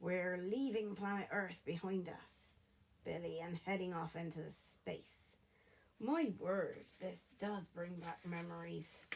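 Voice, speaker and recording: This put-on character voice sounds raspy. It moves at a fairly slow pace. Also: woman, medium pitch for a woman. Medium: read story.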